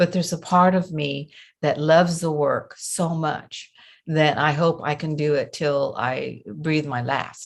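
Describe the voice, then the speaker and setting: Fairly even intonation at a fairly slow pace, with a slight Southern US accent. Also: woman, very deep, low pitch for a woman. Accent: slight Southern US twang. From US South, Memphis, Tennessee. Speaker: coach and trainer. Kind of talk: interview.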